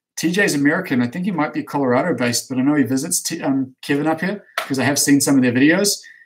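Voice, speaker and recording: This man has a plain, everyday voice, fairly high in pitch, moving at a fairly quick pace with ordinary pitch variation. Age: 30s. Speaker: snowboard coach and company owner. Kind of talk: live stream Q&A reading chat questions. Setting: office, live stream. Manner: casual, with frequent fillers.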